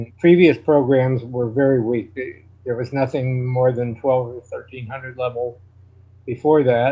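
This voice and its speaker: In an American accent, a man speaks at a medium pitch in a somewhat breathy voice with monotone, flat intonation. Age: 70s. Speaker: chess grandmaster. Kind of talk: interview. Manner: halting.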